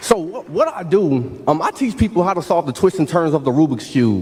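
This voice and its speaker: A man at a fairly quick pace with very wide pitch swings, over noticeable background noise. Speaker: keynote speaker, motivational speaker. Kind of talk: graduation keynote speech to a live audience. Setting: live event, auditorium with PA. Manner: energetic, interactive, encouraging.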